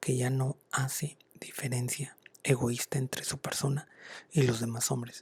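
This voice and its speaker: The delivery is monotone, with flat intonation. Noticeable background noise sits under a dry, close sound with no echo. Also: man. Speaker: ASMR content creator. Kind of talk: whispered ASMR book reading. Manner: soft-spoken, whispering, slow.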